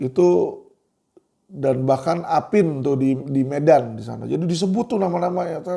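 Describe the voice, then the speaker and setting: In an animated tone, a man with a fairly high pitch speaks at a moderate pace, with ordinary pitch variation and big swings in loudness. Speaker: online commentator. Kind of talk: video commentary monologue. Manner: animated, conversational.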